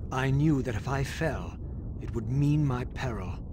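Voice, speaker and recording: A man does a put-on character voice at medium pitch and a moderate pace over loud background noise. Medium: video game. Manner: grave, measured.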